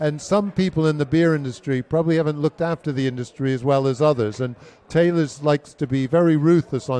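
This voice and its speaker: A man's fairly high voice in an American accent, an ordinary speaking voice at a fairly quick pace with ordinary pitch variation. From United States. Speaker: brewery chief executive. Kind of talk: interview.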